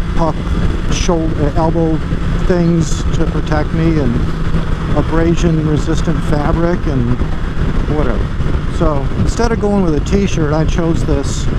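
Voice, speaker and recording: Long, frequent pauses break up speech that sounds dry with no echo beneath loud background noise. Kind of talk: casual vlog chat. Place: motorbike. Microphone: helmet.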